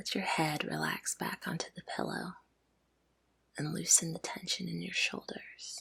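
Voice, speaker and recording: Someone is whispering at a moderate pace. The tone is calm. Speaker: ASMR sleep story narrator. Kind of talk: guided relaxation intro. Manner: soft-spoken, calm.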